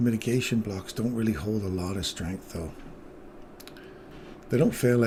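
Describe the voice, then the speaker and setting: A man's somewhat breathy, dark, mellow voice at a moderate pace, with ordinary pitch variation. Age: 60s. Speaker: day trader streaming live trades. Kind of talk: live trading commentary with chat.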